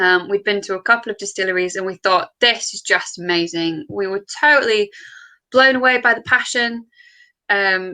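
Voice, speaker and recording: In a Yorkshire accent, a woman with a bright, sharp tone and medium pitch talks at a moderate pace with ordinary pitch variation against a quiet background. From Yorkshire, northern England. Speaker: distillery co-founder. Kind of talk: interview. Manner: many filler words.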